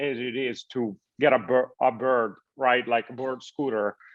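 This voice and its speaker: A man at medium pitch with an Italian accent, the sound dry and close with no echo over a quiet background. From Italy. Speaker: tech startup founder. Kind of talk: interview. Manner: halting, many fillers and restarts.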